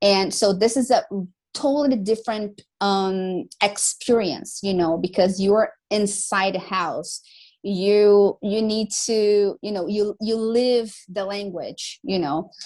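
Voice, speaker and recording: Speaking at a very slow pace, a woman with an American accent uses a medium pitch and ordinary pitch variation. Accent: almost American accent in English. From Brazil. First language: Portuguese. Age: 20s. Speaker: English teacher. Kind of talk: casual chat. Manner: talkative, many fillers.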